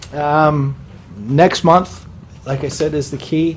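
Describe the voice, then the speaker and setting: A man is talking, with noticeable background noise behind him. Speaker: school building project manager. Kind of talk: presentation at public meeting. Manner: fast; stuttering repetitions.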